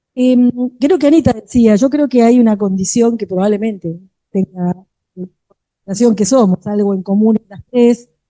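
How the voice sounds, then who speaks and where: Here a woman talks at a moderate pace in a fairly high voice with a dark, mellow tone. Her pitch varies in an ordinary way, and the sound is dry and close with no echo. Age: 60s. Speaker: education researcher, panelist. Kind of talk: panel discussion. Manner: hesitant, many fillers.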